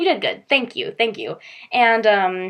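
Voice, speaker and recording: Moderate-paced speech from a woman. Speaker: video blogger ranting about news. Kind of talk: casual vlog rant. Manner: sarcastic-sounding tone; hesitant, many fillers.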